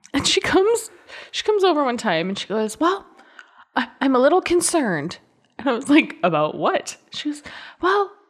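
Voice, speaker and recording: A woman speaks at a moderate pace in a high, animated voice with very wide pitch swings. She leaves long, frequent pauses. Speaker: podcast co-host. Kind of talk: casual chat. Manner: animated, laughs often.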